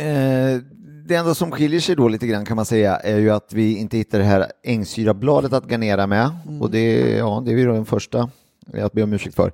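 At a fairly quick pace, a man talks in a medium-pitched voice with a dark, mellow tone and ordinary pitch variation. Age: 40s. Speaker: podcast host. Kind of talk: casual chat.

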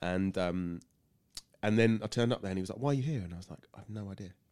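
A man's very deep, low pitch with ordinary pitch variation at a very fast pace, on a very clean recording with a silent background. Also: long, frequent pauses, big swings in loudness. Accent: southern English. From Sussex, England. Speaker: wellbeing coach. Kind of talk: casual interview.

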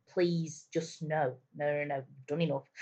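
Somewhat breathy, the woman speaks at a fairly unhurried pace. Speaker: podcast co-host. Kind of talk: casual chat.

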